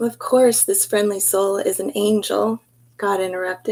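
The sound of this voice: An unforced reading voice carries the clip.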